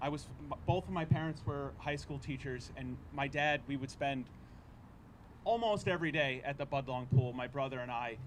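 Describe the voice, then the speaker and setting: Speaking with a Rhode Island accent, a man uses a fairly high pitch with vocal fry and ordinary pitch variation at a moderate pace, with audible room echo. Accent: Rhode Island American. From Cranston, Rhode Island, US. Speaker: city councillor. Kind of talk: public speech at news conference.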